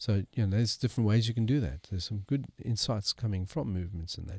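Somewhat breathy and very fast, a man with a fairly low pitch and ordinary pitch variation is heard dry and close with no echo in a very clean recording with a silent background. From South Africa. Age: 60s. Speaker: missional movement strategist and author. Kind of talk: interview.

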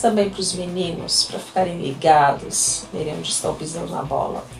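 Noticeable background noise and audible room echo surround a woman whose pitch varies in an ordinary way. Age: 30s. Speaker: podcast host and schoolteacher. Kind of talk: casual solo podcast monologue. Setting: home. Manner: chatty, talkative.

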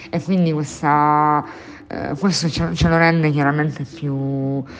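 Over noticeable background noise, a woman with a very deep, low pitch speaks at a fairly slow pace with fairly even intonation. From Sicily (Catania). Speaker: bookshop owner. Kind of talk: interview. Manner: halting, many fillers and repetitions.

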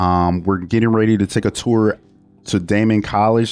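A man with an American accent speaks at a moderate pace in a fairly low, monotone voice with flat intonation. The sound is dry and close with no echo, over a quiet background. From Buffalo, New York (east side). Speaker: youth services director. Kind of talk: podcast interview. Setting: studio.

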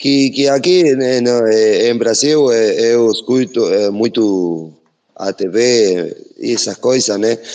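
A man speaks very slowly at a medium pitch, with ordinary pitch variation, very even loudness and a dark, mellow tone. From Uruguay, Brazilian border. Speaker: audience participant. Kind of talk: question from the audience. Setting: online audio room. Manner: halting.

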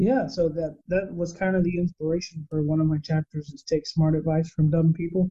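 Speaking at a fairly quick pace with hardly any pauses, a man with a Texan accent has a fairly high pitch, a dark, mellow tone and fairly even intonation, in a dry, close sound with no echo. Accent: Texan American. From Texas. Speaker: operations manager and author. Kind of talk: interview.

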